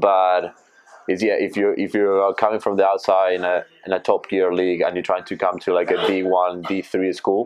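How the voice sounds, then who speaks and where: A man with a Spanish accent speaks at a fairly low pitch against noticeable background noise. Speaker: rugby player. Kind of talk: casual interview.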